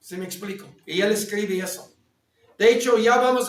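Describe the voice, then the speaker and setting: Ordinary pitch variation in a high male voice. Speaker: theology teacher. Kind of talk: lecture.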